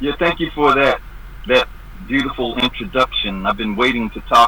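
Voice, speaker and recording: There is noticeable background noise behind this recording. Over it, a man talks with lively intonation. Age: 70s. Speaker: activist guest. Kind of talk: interview.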